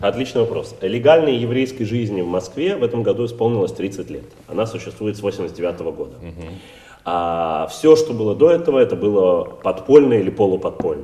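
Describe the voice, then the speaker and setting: This man has a normal speaking voice at medium pitch, talking at a moderate pace. His intonation is lively and his loudness swings widely. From Russia, St. Petersburg. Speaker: rabbi and community head. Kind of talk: interview.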